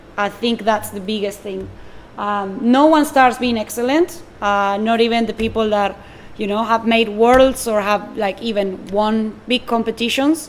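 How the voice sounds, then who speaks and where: Here a woman talks at a fairly slow pace. Her pitch is fairly high. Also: ordinary pitch variation. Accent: Spanish. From Argentina. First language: Spanish. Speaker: barista and coffee buyer. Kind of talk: public talk.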